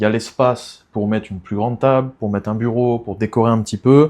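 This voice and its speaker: The dark, mellow tone moves at a moderate pace, its intonation fairly even. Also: man. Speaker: real estate agent. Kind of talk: property tour video. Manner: soft-spoken.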